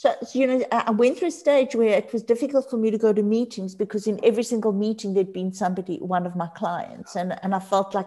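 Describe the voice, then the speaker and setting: In a Johannesburg accent, a woman talks at a fairly quick pace with lively intonation and a dark, mellow tone. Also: very clean recording, silent background. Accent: Johannesburg South African English. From Johannesburg, South Africa. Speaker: addiction counselor and lecturer. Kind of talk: casual interview.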